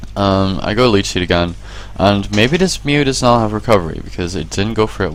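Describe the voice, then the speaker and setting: Music plays in the background as a man speaks with lively intonation. His pitch is very deep and low. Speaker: gaming video commentator. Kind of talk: game replay commentary. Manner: fast.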